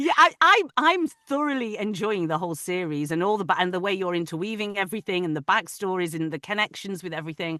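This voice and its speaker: A woman with a northern English accent at medium pitch, bright and sharp in tone, very fast in pace, with lively intonation. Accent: soft northern English. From northern England, Manchester. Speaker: audiobook narrator. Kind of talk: casual chat. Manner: halting.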